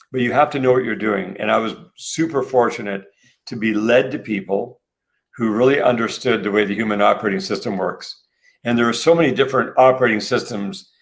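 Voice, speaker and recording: On a very clean recording with a silent background, a man talks at a fairly quick pace in a plain, everyday voice with ordinary pitch variation. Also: medium pitch for a man. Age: 60s. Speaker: health and wellness entrepreneur. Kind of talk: interview.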